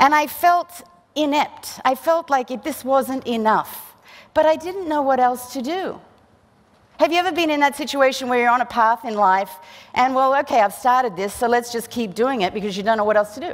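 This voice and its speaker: Her voice high in pitch, a woman talks at a moderate pace with lively intonation. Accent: Australian. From Australia. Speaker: physician and keynote speaker. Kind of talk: motivational keynote speech.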